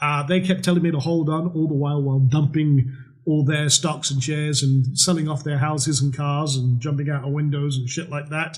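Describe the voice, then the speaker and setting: A man with a fairly high pitch talks at a fairly quick pace, his voice somewhat breathy. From Scotland, northern isles. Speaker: trading educator. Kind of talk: webinar sales pitch. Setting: webinar with webcam. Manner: casual, animated.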